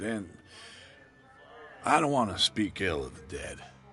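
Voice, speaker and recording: Over background music, a man speaks at a moderate pace in a raspy, put-on character voice of medium pitch, with very wide pitch swings and big swings in loudness. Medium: video game. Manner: gruff, guarded.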